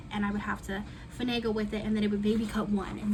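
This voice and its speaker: A woman speaks at a very fast pace with a fairly high pitch. Noticeable background noise and audible room echo accompany her. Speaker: planner hobbyist youtuber. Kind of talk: casual crafting tutorial chat. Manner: voice cutting in and out.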